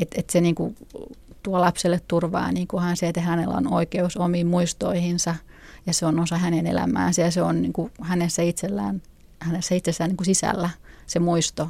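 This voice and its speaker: A woman with a fairly low pitch and vocal fry speaks at a moderate pace, her tone dark and mellow, her intonation fairly even and her loudness very even. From Finland. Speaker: freethinker parent. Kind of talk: interview.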